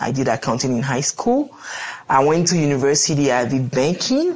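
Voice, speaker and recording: Noticeable background noise sits behind this woman. She speaks at a moderate pace with a very deep, low pitch. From Benin. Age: 30s. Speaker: entrepreneur. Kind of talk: interview.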